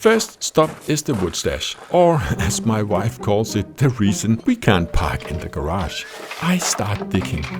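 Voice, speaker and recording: Music plays in the background as a man speaks at a fairly slow pace. His fairly low voice makes very wide pitch swings. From Denmark. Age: 50s. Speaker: woodworking YouTuber. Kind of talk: scripted narration.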